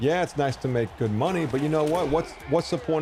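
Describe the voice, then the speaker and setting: At a moderate pace, a man speaks in an American accent over noticeable background noise. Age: 40s. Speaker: gaming streamer. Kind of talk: casual chat.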